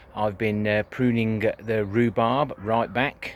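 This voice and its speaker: A man with an English accent, fairly low in pitch and at a fairly slow pace. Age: 60s. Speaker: allotment gardener. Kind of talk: casual video tour. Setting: outdoors at allotment. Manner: hesitant, many fillers.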